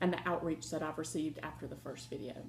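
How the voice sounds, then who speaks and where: A woman talks at a very fast pace in a Southern US accent. Her tone is dark and mellow, with vocal fry. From Ohio. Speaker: crafting vlogger. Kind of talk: casual vlog chat.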